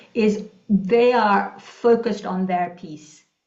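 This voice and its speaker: Room echo comes through clearly. A woman talks, her pitch varying in an ordinary way. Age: 60s. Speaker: leadership coach, former executive. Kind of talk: panel discussion. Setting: conference forum.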